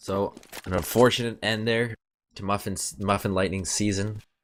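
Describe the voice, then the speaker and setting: In a very clean recording with a silent background, a man speaks at a fairly low pitch with a slight Canadian accent. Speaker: esports commentator. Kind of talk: live commentary; casual sign-off. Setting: live stream. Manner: fast.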